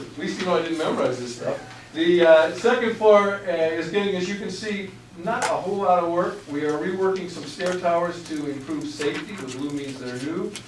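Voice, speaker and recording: Speaking at a fairly quick pace, a man's high-pitched voice shows big swings in loudness. Audible room echo and noticeable background noise surround him. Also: ordinary pitch variation. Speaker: architect presenting to school board. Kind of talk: presentation at public meeting. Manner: fast; halting, many fillers.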